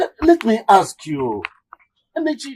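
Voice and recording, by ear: A man's put-on character voice, high-pitched with very wide pitch swings, slightly mellow with a slightly husky edge, at a fairly slow pace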